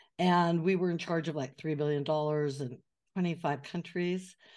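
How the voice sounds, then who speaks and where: The intonation stays fairly even, and the background is quiet. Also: woman. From US West Coast, Northern California. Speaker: author and messaging consultant. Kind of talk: casual interview. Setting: remote call.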